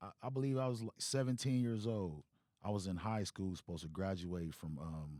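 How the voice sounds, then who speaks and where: With an American accent, a man speaks in a very deep, low voice with a dark, mellow tone. His intonation is lively, his pace fairly quick, and the sound dry and close with no echo. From Compton, Los Angeles. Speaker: rapper. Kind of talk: testimony. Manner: quiet.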